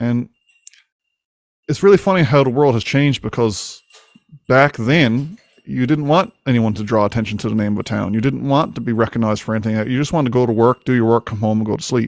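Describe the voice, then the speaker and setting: With a Newfoundland accent, a man of medium pitch talks at a very fast pace with ordinary pitch variation. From Newfoundland, Winterton. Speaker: podcast host. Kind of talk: casual chat.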